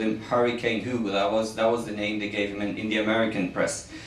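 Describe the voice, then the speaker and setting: Speaking at a fairly quick pace with a Norwegian accent, the man is heard over noticeable background noise and audible room echo. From Norway. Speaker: journalist and author. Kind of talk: book presentation speech. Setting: embassy event with audience. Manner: halting, with fillers.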